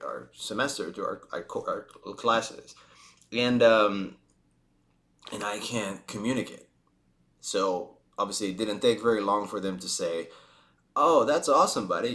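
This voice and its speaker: Long, frequent pauses break up this fairly slow delivery in a Spanish accent. The loudness swings widely. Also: man. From Spain. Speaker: vlogger. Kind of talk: casual storytelling monologue. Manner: halting, many fillers and restarts.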